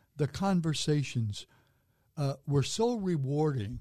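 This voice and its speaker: Lively intonation marks this man's somewhat breathy, fairly high-pitched voice. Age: 80s. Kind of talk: casual interview.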